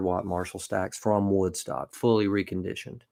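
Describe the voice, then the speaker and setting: Speaking fairly quickly in a flat monotone, a man with a Southern US accent keeps a fairly low pitch in a very clean recording with a silent background. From Alabama. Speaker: singer-songwriter. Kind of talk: casual chat. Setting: livestream.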